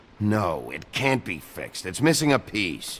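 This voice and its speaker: A man's put-on character voice, fairly low in pitch, with very wide pitch swings at a moderate pace. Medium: video game. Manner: terse, gruff.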